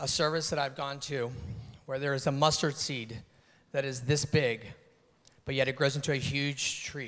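The pitch sits fairly high. The speaker is a man. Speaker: pageant contestant. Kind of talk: pageant answer speech. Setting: stage with audience. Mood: earnest, measured. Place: stage. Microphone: handheld.

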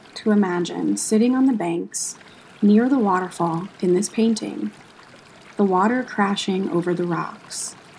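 At a fairly slow pace, a woman with a medium pitch speaks in a soothing, calm tone with ordinary pitch variation, over noticeable background noise. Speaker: yoga instructor and museum educator. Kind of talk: guided meditation. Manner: slow, soft and soothing, with long calm pauses between cues; gentle, even and unhurried, hushed.

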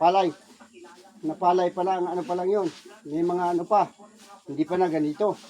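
A man speaks with a high pitch in a flat, monotone delivery at a fairly quick pace. Long pauses come often, and background noise is noticeable. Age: old. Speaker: vlogger and rice farmer, former overseas worker. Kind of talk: casual vlog narration.

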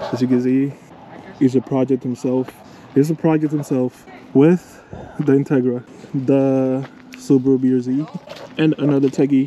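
Amid light background noise, a man speaks at a fairly slow pace with long, frequent pauses and monotone, flat intonation. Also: dry sound with no echo. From New Jersey (Paterson); New Jersey. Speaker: car vlogger; vlogger. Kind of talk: casual vlog chat. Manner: casual, repetitive and halting. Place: street. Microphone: phone near.

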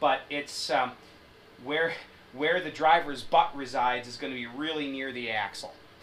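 A man talks at a moderate pace with fairly even intonation. Light background noise can be heard. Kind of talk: tutorial. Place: garage. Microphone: camera far.

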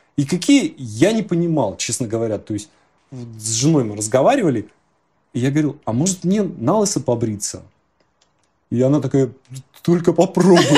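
Against a quiet background, a man speaks at a moderate pace with long, frequent pauses, his fairly high, somewhat breathy voice dark and mellow in tone and marked by very wide pitch swings. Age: 40s. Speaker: image consulting client; interviewee. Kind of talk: interview; interview answer. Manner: halting. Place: home room. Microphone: lapel.

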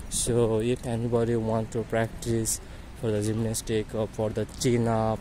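Against light background noise, a man speaks with a dark, mellow tone at a fairly slow pace. His intonation is monotone and flat, and the sound is dry with no echo. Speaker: campus tour narrator. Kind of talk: casual vlog chat. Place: street. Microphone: phone near.

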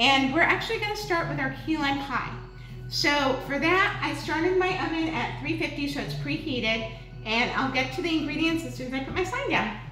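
Clear music plays in the background as a woman speaks at a moderate pace, with audible room echo. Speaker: cooking show host. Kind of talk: casual livestream chat. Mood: friendly, upbeat. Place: kitchen. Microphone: camera far.

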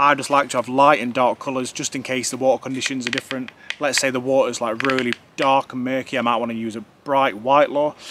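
The tone is fairly bright, and the pace is moderate. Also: man.

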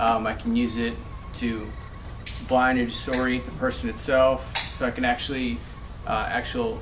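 A man talking at a moderate pace over noticeable background noise. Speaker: firearms instructor trainee. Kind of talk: practice presentation. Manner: hesitant, many filler words. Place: classroom. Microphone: camera far.

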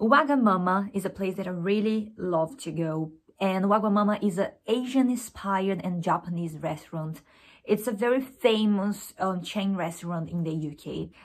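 The pace is moderate. A woman speaks with ordinary pitch variation. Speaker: student vlogger. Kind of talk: casual vlog chat. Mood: warm, enthusiastic. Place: home room. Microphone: phone near.

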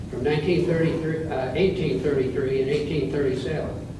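The voice carries ordinary pitch variation. Audible room echo and noticeable background noise fill the recording. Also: man. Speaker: presenter. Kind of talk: lecture. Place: hall. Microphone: camera far.

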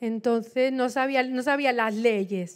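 A woman with a high pitch is heard in a very clean recording with a silent background. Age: 50s. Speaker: missionary preacher. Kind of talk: sermon.

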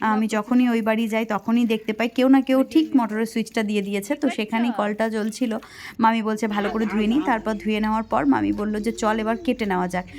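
With a plain, everyday voice, a woman speaks at a fairly high pitch and keeps her intonation fairly even. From West Bengal, India. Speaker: village life vlogger. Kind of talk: vlog narration.

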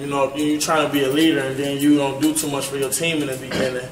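This man speaks over noticeable background noise. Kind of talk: interview answer. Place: hall. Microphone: camera far.

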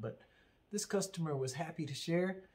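A man talks at a moderate pace in a dark, mellow tone with ordinary pitch variation. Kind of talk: casual show-and-tell explanation. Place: workshop.

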